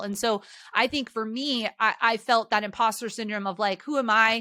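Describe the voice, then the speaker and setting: At a moderate pace, a woman talks in a fairly high, bright and sharp voice with an animated tone. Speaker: business executive and YouTube educator. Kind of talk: podcast interview.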